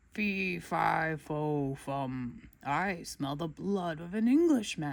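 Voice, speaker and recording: A booming, put-on character voice speaks very slowly at a middle pitch. The recording is very clean, with a silent background. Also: hardly any pauses. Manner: angry.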